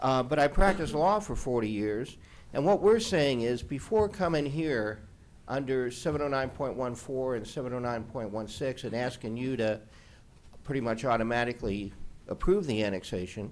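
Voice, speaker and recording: A man talks at a moderate pace in medium pitch and a normal speaking voice. His intonation is lively. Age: 60s. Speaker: attorney. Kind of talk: public meeting testimony.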